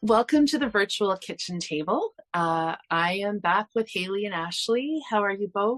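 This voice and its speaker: Delivered at a moderate pace with hardly any pauses, the speech has a dry, close sound with no echo and music in the background. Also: woman, medium pitch for a woman. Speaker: podcast host. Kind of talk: casual chat. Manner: halting.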